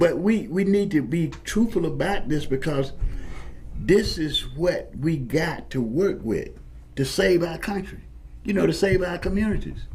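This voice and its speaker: Audible room echo surrounds a man who speaks fairly slowly in a high pitch with lively intonation. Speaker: military veteran, former paratrooper. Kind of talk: talk show discussion. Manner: halting, repetitive restarts; impassioned.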